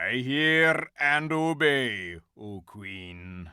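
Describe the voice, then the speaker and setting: Using a put-on character voice, a man of medium pitch sounds gruff and growling. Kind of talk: archaic, formal. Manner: growling, obedient.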